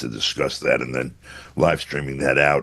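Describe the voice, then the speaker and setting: A man's voice with vocal fry, at a moderate pace. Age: 70s. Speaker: journalist. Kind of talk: interview commentary. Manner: halting with many fillers.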